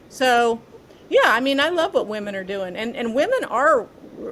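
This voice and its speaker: A woman talks fairly slowly in a fairly high voice while noticeable background noise carries on behind her. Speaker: former FBI agent and former mayor. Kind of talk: casual interview chat.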